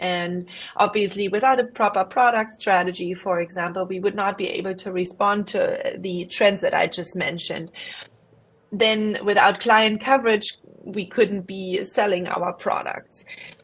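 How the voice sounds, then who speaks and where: Moderate pace and fairly even intonation in a slight German accent. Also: woman. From Germany. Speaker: investment professional. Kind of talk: career presentation. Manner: hesitant, many fillers.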